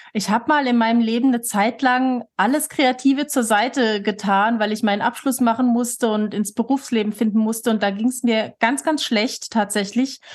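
A woman's plain, everyday voice, fairly high in pitch, with fairly even intonation, very even loudness and a moderate pace. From Switzerland, near Lake Thun, moved to Germany at 13. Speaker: author and association chair. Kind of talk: casual interview.

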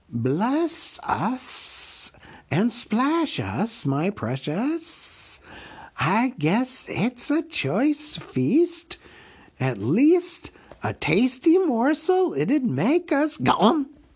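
A man does a put-on character voice at an extremely high pitch, with hissing. He speaks at a very slow pace. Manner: creepy hissing.

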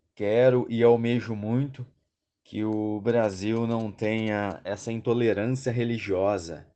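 A man talks at medium pitch in a dark, mellow tone. The background is quiet. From southern Minas Gerais, Brazil. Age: 30s. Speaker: massage therapist. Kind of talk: recorded listener message.

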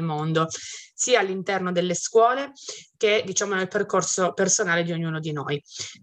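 With a normal speaking voice, a woman talks at a fairly quick pace at medium pitch, her intonation fairly even. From Piedmont, Italy (Bardonecchia, Turin province). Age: 30s. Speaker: criminologist and writer. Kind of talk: interview. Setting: Turin, near a museum.

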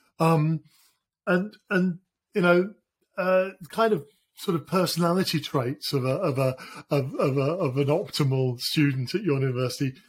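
Pausing long and often, a man with a British accent speaks at a moderate pace, his fairly high voice showing ordinary pitch variation. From Britain. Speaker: podcast host. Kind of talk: interview.

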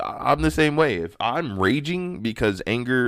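On a very clean recording with a silent background, a man talks at a moderate pace in a medium pitch with an ordinary speaking voice. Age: 30s. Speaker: solo podcaster. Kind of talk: personal monologue. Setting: home recording. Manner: casual, laughs often.

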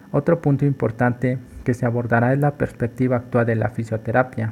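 A man speaks at a medium pitch and a moderate pace. His voice is somewhat breathy, with fairly even intonation. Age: 20s. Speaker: physiotherapy intern. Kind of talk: scripted podcast introduction.

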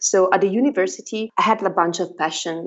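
A woman's medium-pitched voice in an Italian accent, fairly quick, with ordinary pitch variation. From northern Italy. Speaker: marketing executive. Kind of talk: interview answers, conversational.

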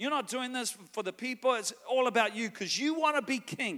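A man's raised, projected voice in a New Zealand accent, bright and sharp in tone, at a moderate pace. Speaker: guest preacher. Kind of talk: sermon. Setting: church with live congregation. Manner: animated.

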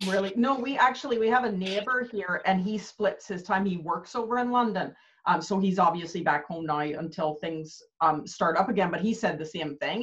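Here is an unremarkable speaking voice from a woman with a Canadian accent. She talks at a fairly quick pace, at medium pitch, with ordinary pitch variation. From Canada. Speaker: business coach. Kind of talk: casual interview chat.

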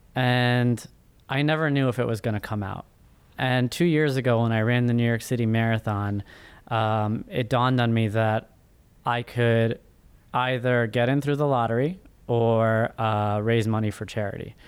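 A man's ordinary speaking voice at medium pitch and moderate pace, fairly even in intonation, in a very clean recording with a silent background. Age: 30s. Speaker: first-time author and finance professional. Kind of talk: interview.

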